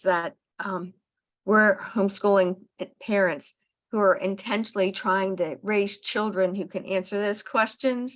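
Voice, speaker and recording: In a normal speaking voice, a woman talks fairly slowly at a medium pitch. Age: 60s. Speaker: podcast host, homeschooling parent. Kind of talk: casual book club discussion.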